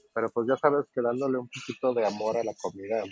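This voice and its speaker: The man's voice has a medium pitch and a moderate pace. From Mexico, Guadalajara. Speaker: taco restaurant owner abroad. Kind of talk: casual interview.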